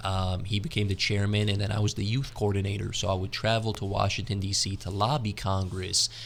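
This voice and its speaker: Speaking with hardly any pauses, a man uses a West Coast American accent. His pitch is fairly low and his intonation fairly even. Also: fairly quick pace. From US, California. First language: Arabic. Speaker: entrepreneur. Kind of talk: podcast interview. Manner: casual.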